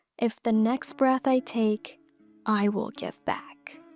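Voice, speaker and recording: Over music in the background, someone speaks at a very slow pace with a dry, close sound and no echo. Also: woman. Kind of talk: poetry reading and talk to camera.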